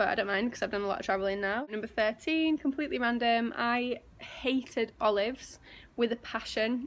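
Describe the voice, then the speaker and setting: In a Yorkshire accent, a woman talks at a fairly quick pace with a fairly high pitch and ordinary pitch variation. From northern England, West Yorkshire (near Leeds). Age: 20s. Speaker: vlogger and personal trainer. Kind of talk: casual vlog monologue. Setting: outdoors.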